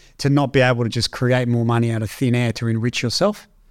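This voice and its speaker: At a fairly quick pace, a man with a medium pitch speaks in an Australian accent. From Australia, Canberra. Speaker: tech entrepreneur. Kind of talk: interview conversation.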